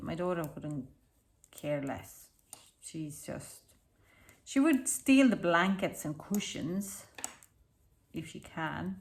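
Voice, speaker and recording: A woman speaks at a medium pitch. She has an Estonian accent. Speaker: knitting designer and tutor. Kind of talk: casual tutorial chat.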